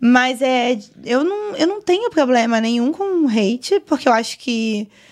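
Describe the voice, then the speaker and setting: Her intonation lively, a woman talks at a fairly high pitch. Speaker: GTA RP streamer and server administrator; GTA RP streamer. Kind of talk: casual podcast interview. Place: studio. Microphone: studio mic.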